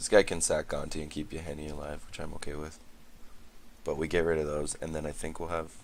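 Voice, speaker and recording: Very fast and monotone, a man talks with flat intonation and a very deep, low pitch. Audible room echo surrounds his voice. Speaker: gaming commentator. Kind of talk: gameplay commentary.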